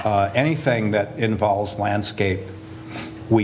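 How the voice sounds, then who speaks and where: With an American accent, a man speaks at a fairly low pitch with fairly even intonation, amid audible room echo. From US Northeast, Hudson Valley. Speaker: landscape architect. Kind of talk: lecture. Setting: lecture hall with audience. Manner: hesitant, many fillers.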